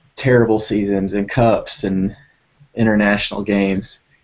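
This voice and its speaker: A man speaks with a Texan accent at a fairly slow pace. His pitch is fairly low and his intonation fairly even. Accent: Texan twang with y'alls and fixin' tos. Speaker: soccer podcast host. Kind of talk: casual panel chat.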